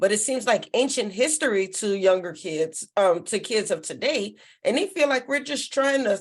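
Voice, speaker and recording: In a plain, everyday voice, a woman talks at a moderate pace and fairly high pitch on a very clean recording with a silent background. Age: 40s. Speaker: talk show co-host. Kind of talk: casual chat.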